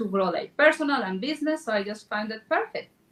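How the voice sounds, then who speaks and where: A woman speaks at a fairly quick pace with a strong non-native accent and a medium pitch. Noticeable background noise can be heard. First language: Spanish. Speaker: real estate agent. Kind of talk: panel discussion.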